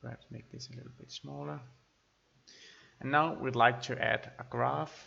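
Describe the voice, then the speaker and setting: Speaking with a non-native accent at a moderate pace, this voice leaves long, frequent pauses and swings widely in loudness. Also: man. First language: not English. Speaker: spreadsheet tutorial creator. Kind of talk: tutorial. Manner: halting.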